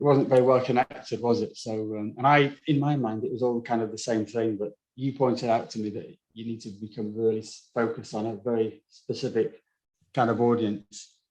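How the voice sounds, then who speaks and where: A man with a northern English accent speaks at a fairly quick pace. His medium-pitched voice stays monotone and flat. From northern England. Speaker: designer, agency founder. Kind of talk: testimonial interview. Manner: casual, hesitant with fillers.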